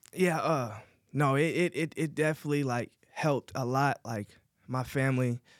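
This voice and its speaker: At a moderate pace, a man speaks at a medium pitch in an unremarkable speaking voice, with a dry, close sound and no echo. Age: 30s. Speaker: estimator in commercial painting, formerly incarcerated. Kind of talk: interview. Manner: casual, many fillers.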